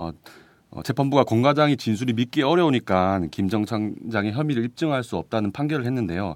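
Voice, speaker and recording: On a very clean recording with a silent background, a man with an unremarkable speaking voice talks at a medium pitch with lively intonation. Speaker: reporter. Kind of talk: casual chat. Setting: studio.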